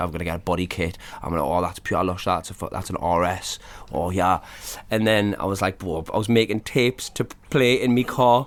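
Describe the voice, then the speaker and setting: In a Geordie accent, a man with a very deep, low pitch talks at a very fast pace in an animated tone with ordinary pitch variation. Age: 40s. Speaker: rapper. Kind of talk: casual chat. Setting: living room.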